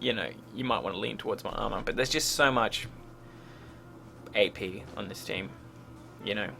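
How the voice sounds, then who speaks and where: Over music in the background, a man with a fairly low pitch talks at a fairly quick pace, his pitch swinging very widely between long, frequent pauses. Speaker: game coach reviewing a replay. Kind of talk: gameplay replay review commentary. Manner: mumbling; hesitant, many fillers.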